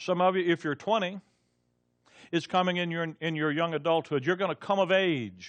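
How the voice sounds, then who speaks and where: This man speaks with an American accent. His pitch is fairly high, with ordinary pitch variation. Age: 60s. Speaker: Bible teacher. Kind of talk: sermon. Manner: halting, many repetitions.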